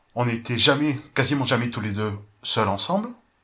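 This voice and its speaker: The tone is bright and sharp. A man speaks at a moderate pace. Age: 30s. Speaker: podcast guest. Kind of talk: casual chat.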